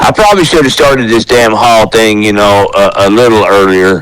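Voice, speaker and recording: With an American accent, the speaker keeps a moderate pace and ordinary pitch variation against noticeable background noise. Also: man. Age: 60s. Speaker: metal musician and hall of fame founder. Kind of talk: casual chat. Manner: halting.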